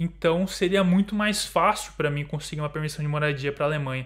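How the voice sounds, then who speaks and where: This man has a plain, everyday voice with fairly high pitch and fairly even intonation. The background is quiet. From Brazil. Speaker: YouTuber living abroad. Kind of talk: casual chat. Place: home room.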